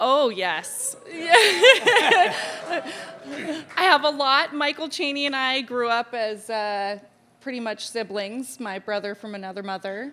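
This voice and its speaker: With an American accent, a woman speaks very slowly in a high, raised, projected voice, her pitch swinging very widely and her loudness shifting a lot over noticeable background noise. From Topanga Canyon, Southern California. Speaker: community member. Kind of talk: casual interview at community gathering. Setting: community hall with audience.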